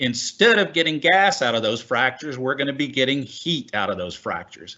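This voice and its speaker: A man talks with a Texan accent. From Texas. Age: 60s. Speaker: oil and gas executive. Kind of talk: panel discussion.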